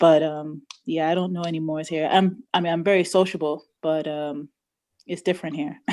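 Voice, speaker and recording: In a very clean recording with a silent background, a woman with a New York accent talks with a dark, mellow tone and fairly even intonation. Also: fairly low pitch for a woman, moderate pace. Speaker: study group participant. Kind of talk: casual chat.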